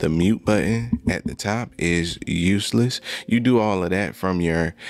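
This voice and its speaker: At a fairly slow pace, the voice shows ordinary pitch variation in a dry recording with no echo. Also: man. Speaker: tech reviewer. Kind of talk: product review tutorial. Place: studio. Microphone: studio mic.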